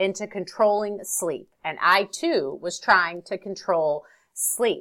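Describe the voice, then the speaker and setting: A woman speaks at a very slow pace in a bright, sharp tone. The recording is very clean, with a silent background. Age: 40s. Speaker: guest who overcame insomnia. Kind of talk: interview, personal story.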